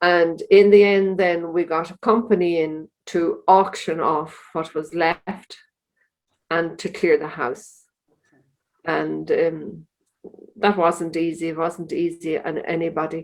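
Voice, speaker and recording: A woman with an Irish accent, a fairly low pitch and a monotone, flat intonation, at a very slow pace. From Ireland, County Louth. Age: 70s. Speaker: religious sister. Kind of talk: interview.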